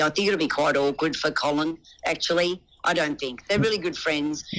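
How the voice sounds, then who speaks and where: In an Australian accent, the speaker talks at a fairly quick pace with ordinary pitch variation. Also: woman. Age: 60s. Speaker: reality TV contestant. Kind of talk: interview answer.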